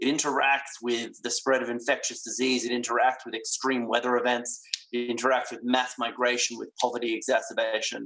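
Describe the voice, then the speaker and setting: Here a man with an Australian accent speaks at a fairly quick pace, with hardly any pauses. His intonation is monotone and flat. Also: medium pitch for a man. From Western Australia. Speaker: plenary lecturer, physician. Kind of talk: lecture. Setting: virtual congress. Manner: hesitant, with fillers.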